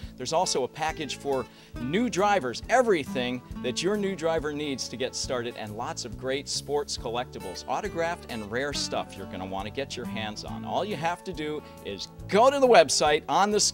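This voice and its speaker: Over clear background music, a man speaks at a moderate pace in an upbeat tone, his loudness swinging widely. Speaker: auctioneer. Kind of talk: promotional event announcement. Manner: upbeat, jokey. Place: street. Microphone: handheld.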